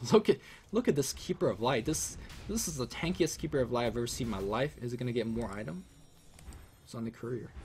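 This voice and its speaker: A man's somewhat breathy, medium-pitched voice at a very fast pace, animated in tone and lively in intonation, broken by long, frequent pauses. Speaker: esports commentator. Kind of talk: live commentary.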